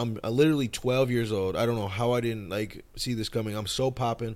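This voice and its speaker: With an unremarkable speaking voice, a man talks at a fairly quick pace in a medium pitch with fairly even intonation, on a very clean recording with a silent background. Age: 20s. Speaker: music producer and YouTuber. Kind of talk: casual chat.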